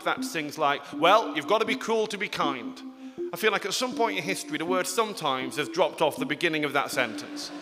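Over music in the background, a man with an English accent speaks at a fairly quick pace, his pitch swinging very widely. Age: 30s. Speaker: comedian. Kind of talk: stand-up. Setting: stage with audience.

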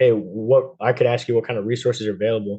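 A man with a plain, everyday voice and an American accent, at a fairly quick pace. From New Jersey. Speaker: navy sailor and coach. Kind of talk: casual interview.

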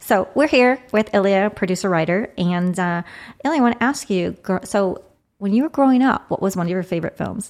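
In a very clean recording with a silent background, a woman has a normal speaking voice, medium pitch, lively intonation and a fairly quick pace. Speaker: podcast host. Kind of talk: casual interview chat. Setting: studio.

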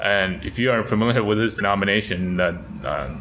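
A man with an American accent speaks in a very deep, low voice. His pitch varies in an ordinary way, and there is noticeable background noise. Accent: American English, Taiwanese background. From Taipei, Taiwan (grew up there, American school). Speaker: missionary. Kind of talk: casual chat. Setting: church office.

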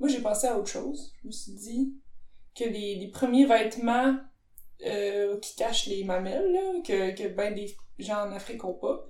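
With audible room echo, a woman talks at a fairly slow pace in a fairly high pitch. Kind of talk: casual chat.

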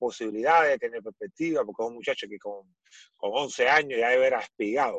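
A man with an ordinary speaking voice talks at a fairly quick pace and medium pitch, with ordinary pitch variation and a dry, close sound with no echo. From Cuba. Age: 40s. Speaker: former volleyball player. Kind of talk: interview.

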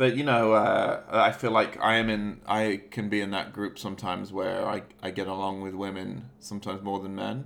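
Here is a normal speaking voice from a man. He moves at a fairly quick pace with fairly even intonation. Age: 30s. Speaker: movie podcast host. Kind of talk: casual chat.

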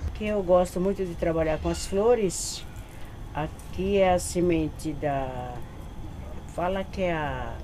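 A woman talks very slowly, pausing long and often, while noticeable background noise runs underneath. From Bahia, Brazil. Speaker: community gardener. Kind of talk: documentary interview, guiding a tour.

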